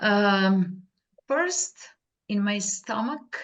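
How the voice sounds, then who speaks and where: Lively intonation colors a woman's speech. She stays at a medium pitch. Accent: non-native. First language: not English. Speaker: workshop participant. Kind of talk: group sharing. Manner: halting.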